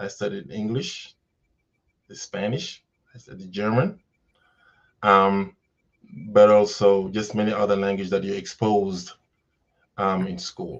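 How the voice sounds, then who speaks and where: With a Senegalese accent, a man speaks at a fairly slow pace in a fairly low pitch, pausing long and often. His intonation is fairly even, while his loudness swings widely. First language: Wolof. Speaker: educator. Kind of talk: interview.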